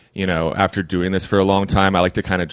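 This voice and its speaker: This man has a Texan accent and a fairly low pitch. The background is quiet. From Texas, Austin. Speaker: recovery coach. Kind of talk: interview. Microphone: occasional crackles from a mic problem.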